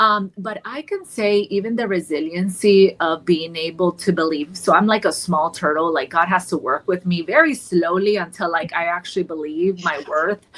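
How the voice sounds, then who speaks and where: With a Colombian accent, a woman talks at a moderate pace in a fairly low pitch, with hardly any pauses. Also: ordinary pitch variation. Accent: Colombian Spanish accent, noticeable at times. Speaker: therapist in private practice. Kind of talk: podcast panel discussion. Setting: podcast recording. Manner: animated, with many fillers and repeated words.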